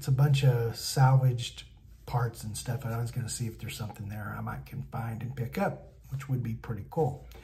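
With fairly even intonation, a man talks as music sounds in the background. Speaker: van build vlogger. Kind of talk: casual vlog chat. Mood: relaxed, looking forward to trip. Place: home room. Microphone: phone near.

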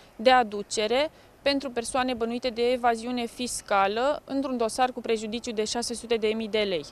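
A woman speaks at a moderate pace with fairly even intonation in a dry sound with no echo. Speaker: police spokesperson. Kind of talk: official press statement. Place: street. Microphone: handheld.

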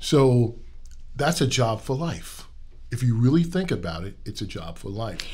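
A man with a New York accent speaks at a moderate pace in a medium pitch, his voice somewhat breathy and his pitch swinging very widely. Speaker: transportation executive. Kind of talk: casual interview.

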